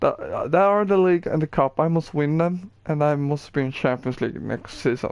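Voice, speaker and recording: A man with a Swedish accent speaks at a moderate pace, his pitch fairly high and varying in an ordinary way. He hardly pauses, and the background is quiet. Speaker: gaming streamer. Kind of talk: gameplay tutorial. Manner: halting.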